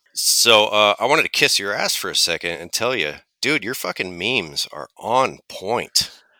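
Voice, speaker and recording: On a very clean recording with a silent background, a man with a bright, sharp tone and vocal fry speaks at a moderate pace with lively intonation and big swings in loudness. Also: medium pitch for a man. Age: 30s. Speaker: auto technician. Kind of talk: casual chat.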